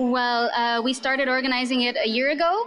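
Speaking with a Romanian accent, a woman uses a high pitch. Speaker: English teacher, pub quiz host. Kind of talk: casual interview storytelling.

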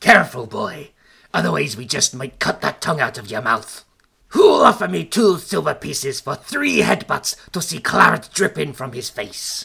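This put-on character voice is raspy, sits at a low-to-middle pitch, and moves at a moderate pace. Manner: menacing, threatening.

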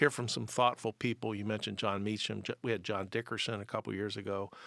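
In an ordinary speaking voice, a man talks fairly quickly at a fairly low pitch, with a dry, close sound with no echo on a very clean recording with a silent background. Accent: American. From Pennsylvania. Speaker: civic organization CEO. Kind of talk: casual podcast conversation. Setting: studio.

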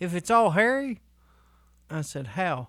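In a very clean recording with a silent background, a man with a Southern US accent talks at a fairly slow pace. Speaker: podcast co-host. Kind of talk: casual chat. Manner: animated.

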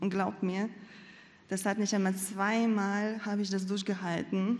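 Her voice is somewhat breathy, at a medium pitch. The woman speaks at a fairly slow pace. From Latvia. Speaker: church member. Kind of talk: testimony.

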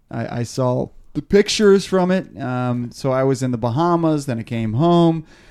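A man has an ordinary speaking voice at a medium pitch. He talks at a moderate pace with lively intonation over a quiet background. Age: 30s. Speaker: podcast host. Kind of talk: casual chat. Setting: studio.

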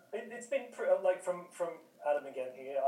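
Speaking in an Australian accent at a fairly quick pace, a man shows ordinary pitch variation amid audible room echo. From Newcastle, Australia. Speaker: communications and content worker. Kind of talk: casual chat.

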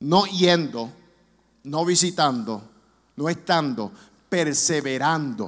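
With audible room echo, a man with a fairly high pitch speaks at a very slow pace and lively intonation. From New York (Brooklyn), raised partly in Orlando. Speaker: guest preacher, charity vice president. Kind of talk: sermon. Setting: church. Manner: raises voice with passion.

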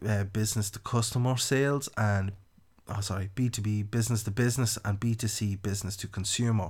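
A medium-pitched man in a rural Irish accent, fairly even in intonation and fairly quick in pace, on a very clean recording with a silent background. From Ireland, County Louth. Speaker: marketing consultant. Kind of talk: podcast monologue.

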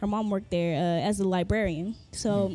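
With a Southern California accent, a woman speaks at a fairly quick pace in a dark, mellow tone. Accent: Southern California American English. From Los Angeles (Inglewood, Carson), Jamaican heritage. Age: 30s. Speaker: DJ and music producer. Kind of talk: casual interview chat. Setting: studio.

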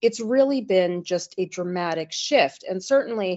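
This woman has a medium pitch. Her intonation is lively. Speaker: sanctions lawyer. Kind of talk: interview. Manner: halting, many fillers.

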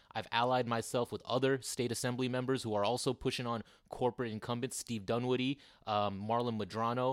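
A man at medium pitch with monotone, flat intonation and a fairly quick pace, on a very clean recording with a silent background and a dry, close sound with no echo. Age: 30s. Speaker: political candidate. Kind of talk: interview.

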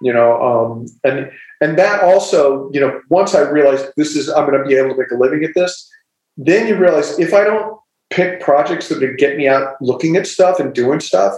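A man's fairly high voice, an ordinary speaking voice with an American accent, moderate pace and ordinary pitch variation. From US Midwest, small-town Ohio. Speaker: novelist. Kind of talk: casual chat.

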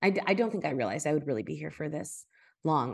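A woman with a very deep, low pitch speaks at a fairly quick pace against a quiet background. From US, Miami, Cuban-American family. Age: 40s. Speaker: writer and podcast host. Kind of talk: casual interview.

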